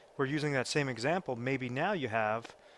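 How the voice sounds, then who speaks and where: An ordinary speaking voice from a man, medium pitched and fairly quick, on a very clean recording with a silent background. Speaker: financial advisor. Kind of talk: explainer video.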